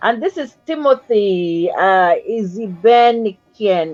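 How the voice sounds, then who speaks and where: A woman's animated tone with very wide pitch swings over music in the background. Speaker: talk show host. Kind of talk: casual chat.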